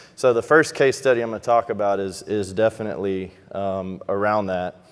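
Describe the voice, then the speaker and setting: A man's voice sits fairly low, its pitch varying in an ordinary way. He moves through his words at a fairly quick pace. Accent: Texas. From Texas, Houston. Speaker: financial advisor. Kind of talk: conference presentation.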